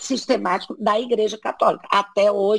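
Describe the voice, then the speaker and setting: A woman speaks with a fairly high pitch. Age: old. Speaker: sexologist. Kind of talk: casual chat.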